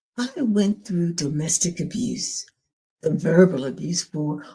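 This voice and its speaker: Her fairly low voice is somewhat breathy, and this woman speaks in a dark, mellow tone. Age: 80s+. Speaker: domestic abuse survivor and channel host. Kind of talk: personal testimony and encouragement.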